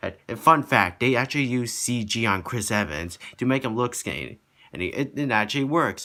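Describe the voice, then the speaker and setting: This man's voice sits at a medium pitch, with lively intonation and a bright, sharp tone. Vocal fry comes through as well. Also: moderate pace. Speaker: movie reviewer. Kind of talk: casual movie review. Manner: halting.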